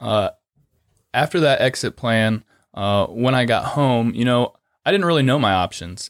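A man with a medium pitch speaks at a moderate pace with lively intonation, very even loudness and long, frequent pauses, on a very clean recording with a silent background and a dry, close sound with no echo. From northern Ohio, US Midwest (Lucas, near Mansfield). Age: 30s. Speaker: union construction laborer and training instructor. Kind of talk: interview. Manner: halting, many fillers.

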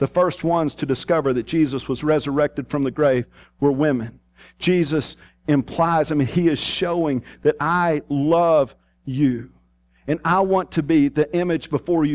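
A man with a strong Texas accent talks at a fairly slow pace in a fairly high pitch with ordinary pitch variation, captured in a very clean recording with a silent background and a dry, close sound with no echo. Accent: strong rural Texas. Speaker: pastor. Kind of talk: sermon. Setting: church.

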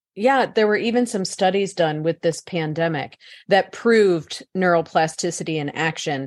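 In a plain, everyday voice with an American accent, a woman speaks at a fairly low pitch and moderate pace, using ordinary pitch variation against a quiet background. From US Midwest (St. Louis, Missouri). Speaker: psychologist and author. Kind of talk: interview.

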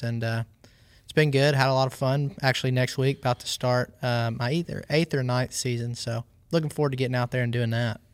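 Speaking with a Southern US accent at a fairly quick pace, a medium-pitched man keeps a monotone, flat intonation, and the sound is dry and close with no echo in a very clean recording over a silent background. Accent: US South. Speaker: professional angler. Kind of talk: casual chat.

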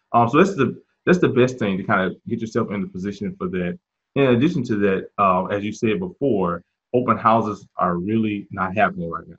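This man has a plain, everyday voice, fairly low in pitch. He talks at a fairly quick pace with big swings in loudness. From US South, Mississippi. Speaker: real estate agent and investor. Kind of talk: interview.

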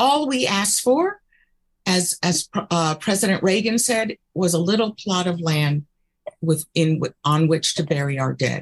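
In an American accent, a woman speaks with fairly low pitch, lively intonation and a somewhat breathy quality. Her loudness stays very even, and the sound is dry and close with no echo. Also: fairly slow pace. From US South. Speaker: political candidate. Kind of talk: interview.

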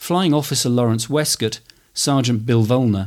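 A man with a plain, everyday voice, medium pitch and ordinary pitch variation, at a moderate pace, on a very clean recording with a silent background. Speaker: history podcaster and war graves volunteer speaker. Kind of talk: history documentary narration, scripted and read. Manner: measured, formal, solemn.

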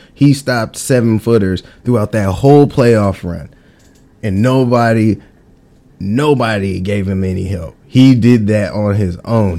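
A man with a normal speaking voice talks at a fairly slow pace. His pitch is fairly low, with ordinary pitch variation. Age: 30s. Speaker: podcast host. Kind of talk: solo monologue. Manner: casual, with many filler words.

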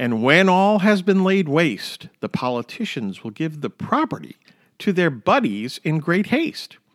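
On a very clean recording with a silent background and a dry, close sound with no echo, a man speaks in a high pitch at a fairly slow pace, his tone dramatic and his pitch swinging very widely. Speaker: podcast host and economics writer. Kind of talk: rhyming poem read aloud, Seuss-style parody. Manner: sing-songy, bouncy rhythm, playfully exaggerated, mock-dramatic; emphasizes rhymes, tongue-in-cheek.

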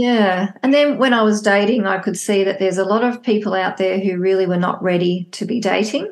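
A woman's medium-pitched voice with an Australian accent, a fairly quick pace and ordinary pitch variation. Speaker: psychologist and divorce coach. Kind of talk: casual interview chat.

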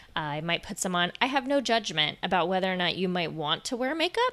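A woman speaks in a plain, everyday voice with an American accent, at medium pitch and a moderate pace, with ordinary pitch variation. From Florida. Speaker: fitness and Pilates instructor, podcast host. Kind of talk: solo podcast monologue. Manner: warm, conversational.

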